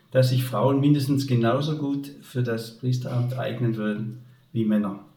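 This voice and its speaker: Room echo is audible as a man speaks at a fairly slow pace. His pitch is medium and his intonation fairly even. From Upper Swabia, southern Germany. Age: 70s. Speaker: retired teacher and headmaster. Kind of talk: faith testimony interview.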